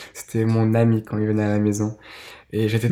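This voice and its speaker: Soft-spoken, a man with a dark, mellow tone talks at a fairly quick pace on a very clean recording with a silent background. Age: 20s. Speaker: podcast guest. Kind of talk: testimony. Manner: halting.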